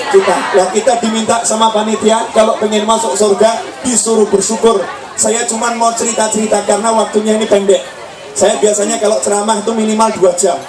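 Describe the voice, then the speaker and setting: A man with a high-pitched voice speaks in a flat monotone while a crowd murmurs in the background and the room echoes audibly. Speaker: Islamic preacher. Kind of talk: sermon. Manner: slow.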